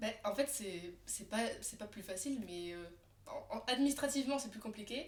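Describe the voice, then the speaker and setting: With big swings in loudness, a woman speaks at a moderate pace in a fairly high pitch, her tone animated and her intonation lively. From France, Alsace (Colmar). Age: 20s. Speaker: tattoo artist. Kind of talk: casual chat. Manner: animated, many fillers.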